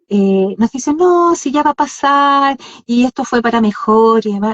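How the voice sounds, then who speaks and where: A woman speaks at a fairly slow pace, somewhat breathy. Her pitch swings very widely. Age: 60s. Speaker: podcast co-host. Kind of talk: casual chat. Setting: live Instagram stream.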